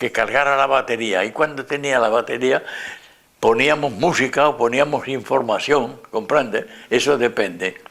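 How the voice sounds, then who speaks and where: A man with an Andalusian accent speaks at a fairly slow pace. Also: medium pitch for a man, ordinary pitch variation. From Andalusia, Spain (Córdoba province). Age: 80s+. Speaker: Spanish Civil War veteran. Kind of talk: interview answer.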